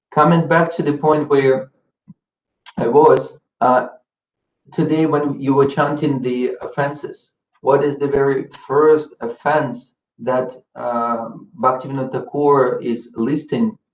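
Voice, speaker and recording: A man speaks at a very slow pace with a fairly high pitch and a non-native accent. His speech has long, frequent pauses. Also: fairly even intonation. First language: not English. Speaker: spiritual teacher. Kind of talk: religious lecture. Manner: halting, with fillers and repetitions.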